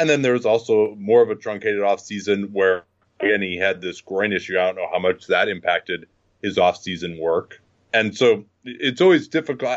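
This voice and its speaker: This man has a plain, everyday voice, fairly low in pitch, with ordinary pitch variation. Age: 40s. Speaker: basketball podcaster. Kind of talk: casual chat.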